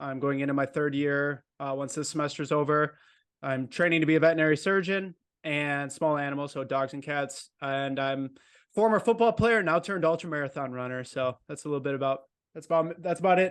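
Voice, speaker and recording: With an American accent, a man uses a normal speaking voice at a fairly quick pace, his fairly high pitch showing ordinary variation against a quiet background. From Wisconsin, near Milwaukee. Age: 20s. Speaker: vet student and ultra runner. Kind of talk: casual interview chat.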